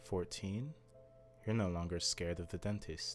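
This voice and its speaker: With music in the background, a man with a fairly low pitch talks at a fairly slow pace. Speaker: storyteller. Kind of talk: horror story narration.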